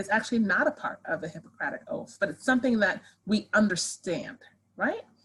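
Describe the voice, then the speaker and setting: A woman speaks with ordinary pitch variation. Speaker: sociology professor. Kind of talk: lecture. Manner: fast.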